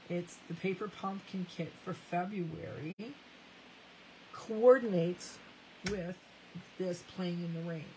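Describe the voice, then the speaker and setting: A woman speaks very slowly with a Canadian accent, her dark, mellow tone fairly low in pitch and somewhat breathy, her intonation fairly even and broken by long, frequent pauses. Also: big swings in loudness. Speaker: craft demonstrator. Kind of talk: live crafting tutorial.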